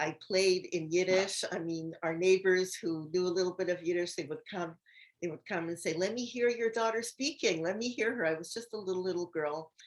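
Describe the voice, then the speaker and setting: A plain, everyday voice from a woman at medium pitch, with ordinary pitch variation and a quiet background. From Canada, Montreal. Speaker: host's mother, guest speaker. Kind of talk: personal testimony.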